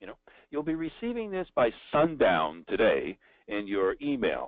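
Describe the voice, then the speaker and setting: A man with a New Jersey accent. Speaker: sales trainer. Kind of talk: webinar. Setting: live online event. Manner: conversational.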